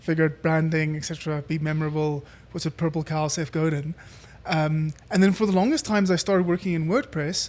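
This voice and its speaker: A man with a South African accent, fairly high in pitch, fairly quick, with fairly even intonation. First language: Afrikaans. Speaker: entrepreneur. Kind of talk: casual interview chat. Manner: hesitant, many fillers.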